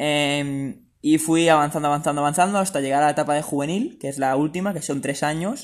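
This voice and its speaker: A man speaks in a plain, everyday voice with a fairly high pitch and fairly even intonation, at a fairly quick pace with hardly any pauses. The recording is very clean, with a silent background. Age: 20s. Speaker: semi-professional footballer and student. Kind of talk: interview.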